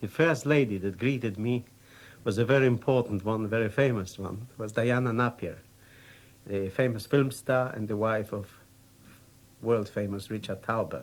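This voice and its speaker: A man with a Polish accent at medium pitch, ordinary pitch variation and a moderate pace, with long, frequent pauses. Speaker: war veteran. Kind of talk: unscripted personal anecdote.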